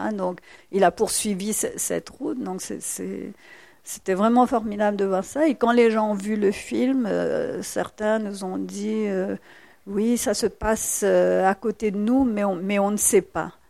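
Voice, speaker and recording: At a very slow pace, a woman speaks at a medium pitch in a dark, mellow tone with ordinary pitch variation. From Mauritius, rural village. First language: Mauritian Creole (speaking French). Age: 60s. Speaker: novelist and poet. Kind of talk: public talk at library event.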